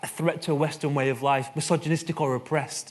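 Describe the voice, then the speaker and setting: This man has a fairly high pitch and speaks with a Mancunian accent. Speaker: conference speaker, co-founder of a media research test. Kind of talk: conference talk. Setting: stage with audience. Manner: fast.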